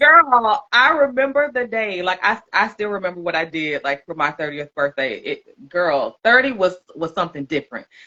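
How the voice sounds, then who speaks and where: A woman at a medium pitch speaks with a bright, sharp tone and very wide pitch swings. Her animated tone keeps a moderate pace. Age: 40s. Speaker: podcast host. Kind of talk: casual interview chat. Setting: livestream podcast.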